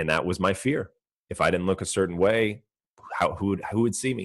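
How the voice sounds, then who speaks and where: With a Californian accent, a man talks at a fairly quick pace, the sound dry and close with no echo over a quiet background. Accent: Californian American English. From US West Coast, Orange County, California. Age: 30s. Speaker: entrepreneur and personal trainer. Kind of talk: podcast interview.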